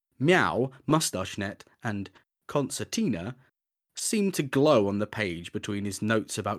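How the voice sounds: The background is quiet. A natural reading voice carries the clip.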